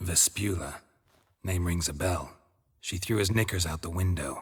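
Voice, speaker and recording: A man uses a put-on character voice with a deadpan tone and a very deep, low pitch. He talks at a moderate pace in a very clean recording with a silent background. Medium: video game. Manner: deadpan, terse.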